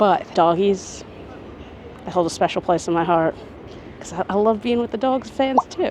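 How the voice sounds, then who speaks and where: A woman with an American accent, medium pitch and an animated tone, lively intonation, big swings in loudness, a moderate pace with long, frequent pauses, and noticeable background noise. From New York City, Queens. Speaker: travel vlogger. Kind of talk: casual vlog to camera. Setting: outdoors at a stadium before a game.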